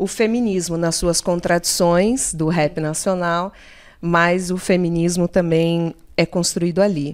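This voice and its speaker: This woman has an ordinary speaking voice at medium pitch. She talks at a fairly slow pace. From São Paulo state interior (Limeira). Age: 30s. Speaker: public cultural program coordinator. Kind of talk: casual chat.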